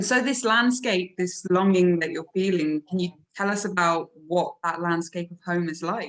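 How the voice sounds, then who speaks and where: A woman with an English accent at a moderate pace, with hardly any pauses. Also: medium pitch for a woman, ordinary pitch variation. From England. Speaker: podcast co-host. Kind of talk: casual interview chat.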